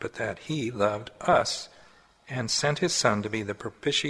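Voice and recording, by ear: Someone is reading aloud in a natural voice here.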